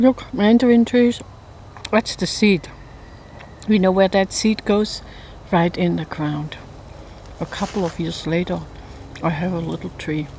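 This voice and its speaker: With long, frequent pauses, a woman talks at a fairly slow pace and ordinary pitch variation, the sound dry with no echo over light background noise. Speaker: home gardener vlogger. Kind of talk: casual vlog chat. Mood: cheerful, playful. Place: forest. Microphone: phone near.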